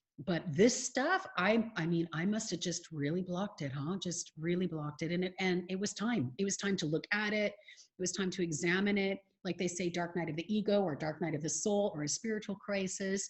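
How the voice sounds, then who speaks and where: A woman speaks with an American accent and hardly any pauses. Her medium-pitched voice is somewhat breathy, with ordinary pitch variation. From California, USA. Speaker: life coach. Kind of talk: podcast interview answer.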